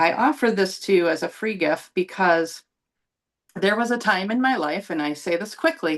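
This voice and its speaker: Speaking with an American accent, a woman uses lively intonation at a moderate pace and medium pitch. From US, Buffalo, New York. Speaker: psychic channeler and healer. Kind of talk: presentation to a group.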